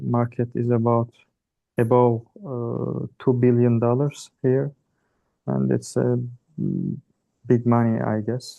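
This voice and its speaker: A man with a Turkish accent speaks at a very slow pace with long, frequent pauses. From Turkey. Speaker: startup founder. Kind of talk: self-introduction. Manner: halting.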